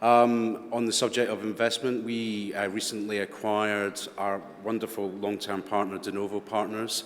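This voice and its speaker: A man speaks with a Scottish accent at a moderate pace and fairly low pitch. His intonation is monotone and flat, with hardly any pauses. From Scotland. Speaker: panel moderator. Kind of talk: moderated panel discussion.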